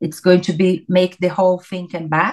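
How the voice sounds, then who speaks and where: A woman of medium pitch with a Portuguese accent. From Brazil. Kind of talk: interview. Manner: halting.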